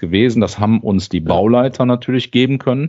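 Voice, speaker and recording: A man's voice with ordinary pitch variation. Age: 40s. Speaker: lean and continuous improvement lead at a timber house maker. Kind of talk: interview conversation. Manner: hesitant, many filler sounds.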